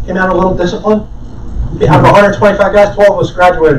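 A man speaks with a high pitch. There is noticeable background noise and audible room echo. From New Jersey. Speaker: retired realtor and mortgage advisor. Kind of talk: motivational talk. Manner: animated.

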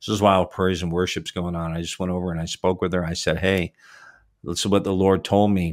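At a fairly quick pace, a man with a very deep, low pitch speaks in a monotone, flat intonation on a very clean recording with a silent background. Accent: Canadian. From Canada (Toronto area). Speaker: podcast host and minister. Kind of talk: interview conversation; storytelling.

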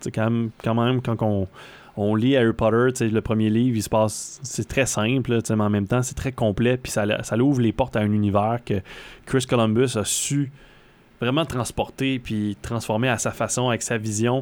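Here a man speaks at a medium pitch. His delivery is monotone and flat, at a moderate pace. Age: 30s. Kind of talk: casual chat.

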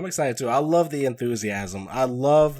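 At a moderate pace, a man talks with lively intonation at a medium pitch in a plain, everyday voice. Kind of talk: casual chat.

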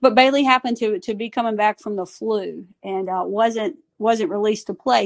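With a Southern US accent, a woman speaks at a fairly high pitch with ordinary pitch variation. The background is quiet. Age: 40s. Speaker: softball coach. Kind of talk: casual interview. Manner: animated.

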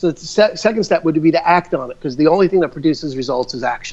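A man talks at a very fast pace with an American accent. His pitch swings very widely. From New York. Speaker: realtor and educator. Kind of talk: interview conversation. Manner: halting.

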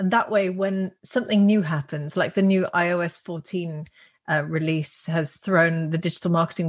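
A somewhat breathy woman's voice of fairly low pitch at a moderate pace, over a quiet background. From Netherlands. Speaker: business school founder, entrepreneur. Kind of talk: interview.

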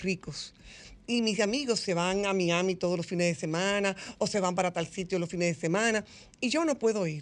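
Ordinary pitch variation shapes a woman's medium-pitched voice at a moderate pace. The background is quiet. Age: 50s. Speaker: psychologist. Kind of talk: radio interview. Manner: animated.

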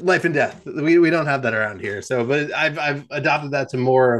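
With an unremarkable speaking voice, a man talks at a moderate pace with ordinary pitch variation against a quiet background. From New Jersey. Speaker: cycling apparel founder and ride organizer. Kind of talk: casual interview chat.

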